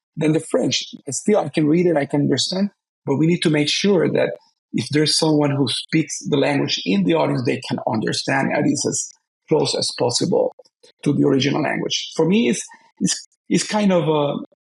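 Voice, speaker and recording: A man with a Spanish accent, at a moderate pace and very even loudness. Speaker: opera singer. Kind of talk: interview.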